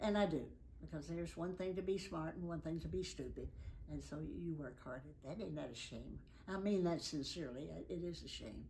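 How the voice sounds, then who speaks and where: A woman with a Tennessee accent at a fairly quick pace, with audible room echo. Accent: Southern US (Tennessee). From US South, Nashville, Tennessee. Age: 90s. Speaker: elderly interviewee recounting life story. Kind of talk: oral history interview.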